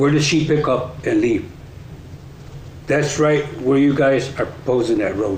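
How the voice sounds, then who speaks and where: A man's medium-pitched voice at a fairly slow pace, with ordinary pitch variation, audible room echo and noticeable background noise. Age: 60s. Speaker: resident speaking at public meeting. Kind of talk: public comment. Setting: council meeting.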